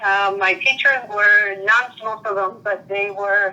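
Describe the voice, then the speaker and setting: Speaking with a Spanish accent, a woman uses medium pitch, ordinary pitch variation and a fairly slow pace. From Puerto Rico. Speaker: interviewee. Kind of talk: interview. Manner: halting.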